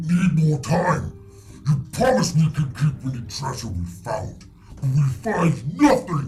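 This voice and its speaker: Putting on a guttural character voice at a fairly high pitch, a man speaks fairly slowly over clear background noise. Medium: actual play. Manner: broken grammar, terse.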